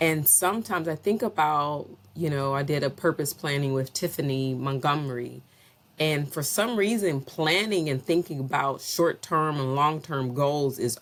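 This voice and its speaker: A woman's very deep, low voice carries her words at a moderate pace. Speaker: faith and mindset vlogger. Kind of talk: casual monologue. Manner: hesitant, filler-heavy.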